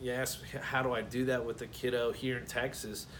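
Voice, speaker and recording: His words come at a moderate speed. The room adds audible echo. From Florida (Brooksville, near Tampa). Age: 30s. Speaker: scholarship applicant, rancher and aspiring chef. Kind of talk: personal application video, speaking to camera. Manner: halting, many fillers and repeated words.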